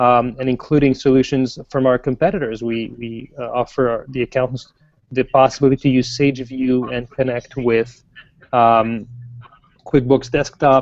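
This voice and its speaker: Here a man talks in a French Canadian accent at a moderate pace. His pitch is medium, and his intonation is monotone and flat. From French Canada. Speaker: software product manager. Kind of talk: interview.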